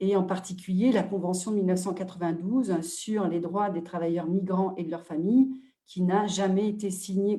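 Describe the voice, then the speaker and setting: A woman's dark, mellow, somewhat breathy voice at medium pitch, with fairly even intonation and a moderate pace. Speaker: NGO president and advocate. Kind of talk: webinar talk. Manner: hesitant, many fillers.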